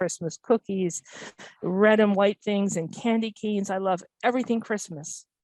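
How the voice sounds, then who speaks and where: A woman with an American accent has an unremarkable speaking voice at a medium pitch and fairly even intonation. The recording is very clean, with a silent background and a dry, close sound with no echo. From US Midwest, Minnesota, small town. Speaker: hospice nurse. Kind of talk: presentation.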